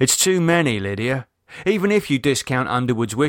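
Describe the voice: Lively intonation marks this plain reading aloud. The background is quiet.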